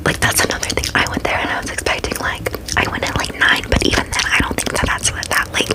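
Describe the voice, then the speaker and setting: A woman whispers fairly quickly, with noticeable background noise around her. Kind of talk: ASMR storytime ramble. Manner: fast, aggressive whispering.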